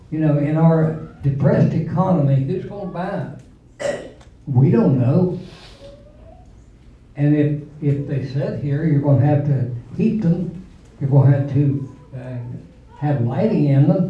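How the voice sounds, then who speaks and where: Long pauses come often in this speech, at a fairly slow pace. The speaker has an Appalachian accent. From West Virginia, Nicholas County. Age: 70s. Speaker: parent speaking at public hearing. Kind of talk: public comment at hearing. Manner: halting, with fillers and repetitions.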